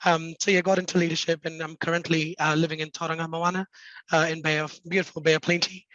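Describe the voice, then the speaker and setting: Speaking very fast in a New Zealand accent, a man holds a high pitch with monotone, flat intonation. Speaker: mental health nurse leader. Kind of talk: panel introduction. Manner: hesitant, many fillers.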